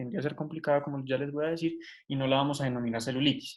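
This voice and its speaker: His voice is pitched fairly high. The speaker is a man. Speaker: medical student tutor. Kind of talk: lecture. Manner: fast.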